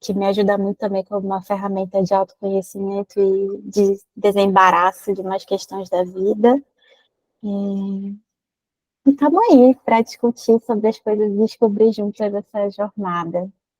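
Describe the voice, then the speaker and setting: A woman's medium-pitched voice at a moderate pace. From Manaus, Amazonas, Brazil. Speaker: psychologist. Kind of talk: live stream interview chat.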